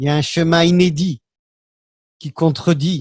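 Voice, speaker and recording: A man speaks at a fairly slow pace, somewhat breathy, with fairly even intonation. The sound is dry and close with no echo, and the background is quiet. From Algeria. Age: 60s. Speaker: political commentator. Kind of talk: panel discussion. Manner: hesitant.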